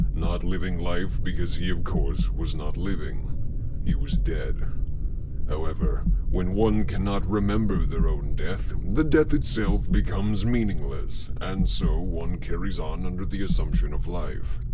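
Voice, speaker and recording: Putting on a character voice, a man speaks at a moderate pace over loud background noise. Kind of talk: horror narration. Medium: read story. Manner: slow, brooding.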